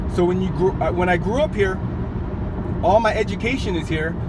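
A man speaks with an American accent over loud background noise. The sound is dry, with no echo. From US West Coast. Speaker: vlogger. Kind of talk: casual storytelling monologue. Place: car. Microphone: phone near.

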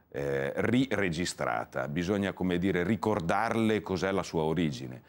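Very deep and low, this man's voice carries vocal fry and lively intonation at a moderate pace. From Italy, Cremona (Lombardy); Lombardy, Italy. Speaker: politician. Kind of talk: TV interview, political pitch. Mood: calm, persuasive.

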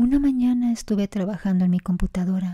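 A fairly quick pace on a very clean recording with a silent background. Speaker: storyteller reading listener-submitted stories. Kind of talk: ghost story telling. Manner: hushed, suspenseful narration.

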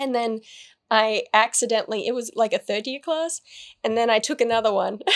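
A woman speaks with an Australian accent. Her pitch varies in an ordinary way, and the background is quiet. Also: fairly quick pace. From Australia, New South Wales. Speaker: actor, writer and YouTuber; actor, YouTuber. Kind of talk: interview. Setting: studio interview set. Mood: relaxed, chatty. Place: studio. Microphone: studio mic.

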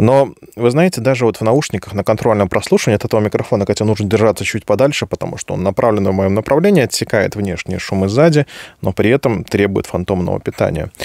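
This man talks at a very fast pace in a fairly low voice with ordinary pitch variation. The sound is dry with no echo, and the background is quiet. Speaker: microphone reviewer. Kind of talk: tutorial. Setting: studio. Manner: informal, chatty. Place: home room. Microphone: studio mic.

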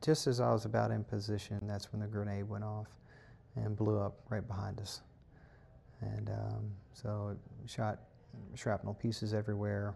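At a fairly quick pace, a man talks with fairly low pitch and monotone, flat intonation. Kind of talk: interview answer. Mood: calm, reflective recounting. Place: home room. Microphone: lapel.

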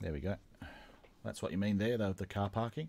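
A man speaks very fast in an Australian accent, his tone dark and mellow. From South Australia. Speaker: YouTube channel host, model railroader; YouTube channel host. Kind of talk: interview. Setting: online call. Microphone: video call.

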